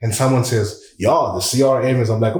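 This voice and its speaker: Audible room echo surrounds a man whose medium-pitched, somewhat breathy voice moves at a fairly quick pace with fairly even intonation. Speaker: communication coach. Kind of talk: podcast interview.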